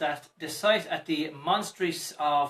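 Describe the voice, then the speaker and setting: A man with a Limerick accent speaks with ordinary pitch variation. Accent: Limerick Irish, toned down. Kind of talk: news reading.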